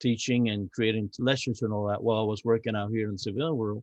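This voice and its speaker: Speaking at a very fast pace with a Spanish accent, a man keeps a medium pitch and fairly even intonation in a dry, close sound with no echo. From Cuba. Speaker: navy veteran. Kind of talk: podcast interview. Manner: halting, with repeated words.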